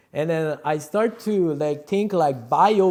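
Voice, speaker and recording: A man with a Quebec accent, fairly high in pitch, animated in tone with lively intonation, at a fairly slow pace. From Quebec, South Shore of Montreal. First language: French. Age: 30s. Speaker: rapper and music producer. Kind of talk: casual vlog monologue. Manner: halting.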